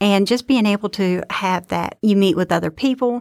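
On a very clean recording with a silent background and a dry, close sound with no echo, a woman of medium pitch speaks at a moderate pace with ordinary pitch variation. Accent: Southern US. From Georgia, US South. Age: 40s. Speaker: student trustee and nursing student, Air Force veteran. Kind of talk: casual interview. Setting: studio.

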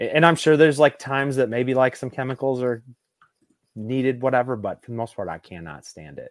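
A man with a plain, everyday voice and an American accent speaks at a fairly quick pace in a medium pitch with ordinary pitch variation. His loudness swings a lot, in a dry, close sound with no echo. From Southeast Michigan, US. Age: 30s. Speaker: bass fisherman. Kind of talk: casual chat.

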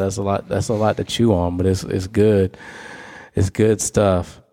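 A man with an American accent talks at a moderate pace in a fairly low, dark, mellow tone, his intonation monotone and flat. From US South. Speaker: pastor, podcast co-host. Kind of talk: casual faith discussion.

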